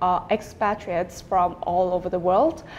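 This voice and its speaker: A woman speaks with a Vietnamese accent. Her pace is fairly slow. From Vietnam, Hanoi. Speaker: student, exam candidate. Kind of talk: speaking exam interview.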